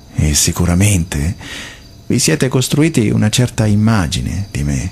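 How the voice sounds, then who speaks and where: A man's very deep, low voice with very wide pitch swings at a fairly slow pace. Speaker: radio host. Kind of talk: radio monologue. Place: studio.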